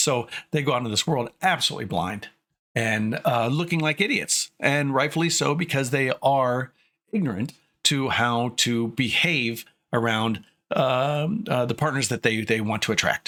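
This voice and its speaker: A man speaks in a bright, sharp tone with lively intonation. The recording is very clean, with a silent background. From US Midwest. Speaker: streamer and commentator. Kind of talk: casual livestream commentary. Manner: pitch drops low when not excited; hesitant with many fillers.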